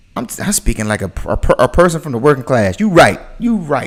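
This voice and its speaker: Animated American-accented man with a fairly high pitch, very wide pitch swings, vocal fry and a moderate pace. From US South, the Carolinas. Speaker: content creator, reaction streamer. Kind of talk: live reaction stream. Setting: livestream.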